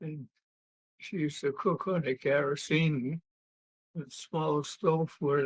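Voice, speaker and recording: A man at fairly high pitch, somewhat breathy, with ordinary pitch variation, big swings in loudness and a fairly slow pace, in a dry, close sound with no echo. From New England (New Bedford, Massachusetts). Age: 90s. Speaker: elderly relative interviewed about his life. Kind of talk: interview.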